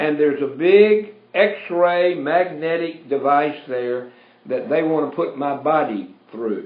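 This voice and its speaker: Audible room echo surrounds a man with a Southern US accent, high pitch and lively intonation. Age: 70s. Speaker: radio host, pastor. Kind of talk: talk radio monologue. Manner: animated.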